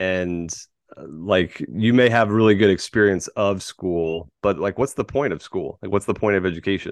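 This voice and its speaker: A normal speaking voice with an American accent, ordinary pitch variation, and a dry, close sound with no echo over a quiet background. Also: man, fairly low pitch for a man, moderate pace. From Florida, Tampa Bay. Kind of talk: casual chat.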